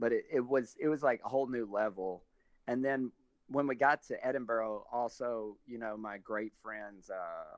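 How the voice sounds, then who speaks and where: With a Southern US accent, a man talks at a moderate pace in a medium pitch with ordinary pitch variation. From US South. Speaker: stand-up comedian. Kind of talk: casual interview chat.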